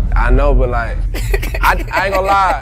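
Light background noise sits under a man talking at a fairly quick pace. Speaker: livestream reactor. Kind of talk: casual flirty banter. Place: home room.

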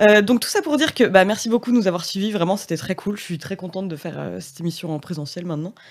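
Against a quiet background, a woman talks very fast with hardly any pauses, a medium pitch, ordinary pitch variation and big swings in loudness. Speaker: interviewer. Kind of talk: casual interview. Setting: studio. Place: studio. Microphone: studio mic.

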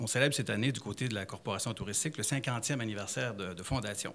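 A man in a Quebec accent speaks with ordinary pitch variation. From Abitibi, Quebec. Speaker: tourism business owner; audience member. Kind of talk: public forum remarks. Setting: library public event with audience. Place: hall. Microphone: handheld.

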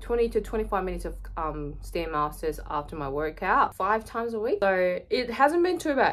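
A woman talks. Her pace is moderate. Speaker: fitness vlogger. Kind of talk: casual vlog chat. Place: home room. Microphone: phone near.

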